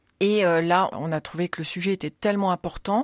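A woman's fairly low voice moves at a moderate pace in a very clean recording with a silent background. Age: 50s. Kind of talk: radio interview. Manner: hesitant, many fillers.

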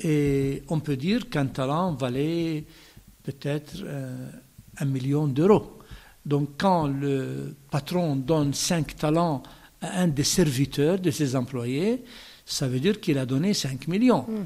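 Speaking at a very slow pace, a man with an Arabic accent has a fairly high pitch, ordinary pitch variation and a dark, mellow tone. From Palestine (Bethlehem). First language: Arabic (speaking French). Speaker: bishop. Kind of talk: radio interview.

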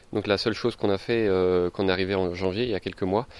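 A man at a very fast pace and a fairly low pitch, with fairly even intonation, in a very clean recording over a silent background. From Paris. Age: 30s. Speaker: market gardener. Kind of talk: interview.

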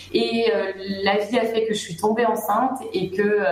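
Noticeable background noise and audible room echo surround a woman speaking at a fairly slow pace with ordinary pitch variation. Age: 30s. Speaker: business owner, recruitment consultant. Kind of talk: radio interview. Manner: hesitant, many fillers.

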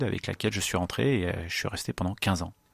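A man talking at a very fast pace, dry and close with no echo. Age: 30s. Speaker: truck driver. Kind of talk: testimony. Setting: studio. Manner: halting.

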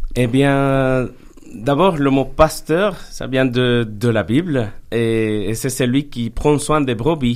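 Speaking at a very slow pace with a Spanish accent, the voice shows ordinary pitch variation. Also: man, medium pitch for a man. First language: Spanish (speaking French). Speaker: pastor. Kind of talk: radio interview. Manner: halting, with repetitions.

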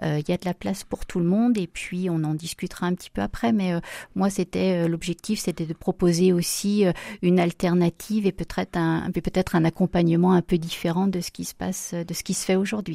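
A dark, mellow tone moves at a fairly quick pace in a monotone, flat intonation. The sound is dry and close with no echo, in a very clean recording with a silent background. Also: woman, fairly low pitch for a woman. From France, Loire (Saint-Étienne). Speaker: home care agency director. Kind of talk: radio interview.

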